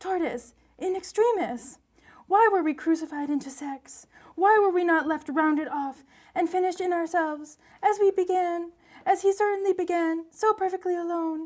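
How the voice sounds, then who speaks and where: The speaker uses a put-on character voice with an extremely high pitch. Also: moderate pace. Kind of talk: poetry reading.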